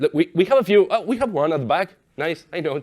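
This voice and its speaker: A man speaks with an Argentine accent in a very clean recording with a silent background. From Argentina. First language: Spanish. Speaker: software developer. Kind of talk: conference talk. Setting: stage with audience.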